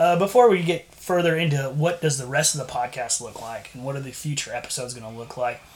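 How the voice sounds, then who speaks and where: A very fast man with an American accent, fairly high in pitch, with ordinary pitch variation. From San Antonio, Texas. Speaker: podcast co-host. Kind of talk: casual chat.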